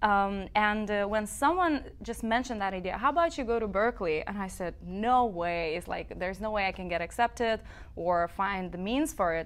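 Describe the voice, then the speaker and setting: Moderate pace and ordinary pitch variation in a Lithuanian accent, with hardly any pauses. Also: woman, medium pitch for a woman. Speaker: singer-songwriter; guest. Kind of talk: interview. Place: studio. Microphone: lapel.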